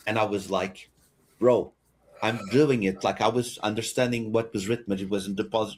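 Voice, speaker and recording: A man with a Portuguese accent speaks at a medium pitch. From Portugal. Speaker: podcast co-host, gamer. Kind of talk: casual chat. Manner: animated.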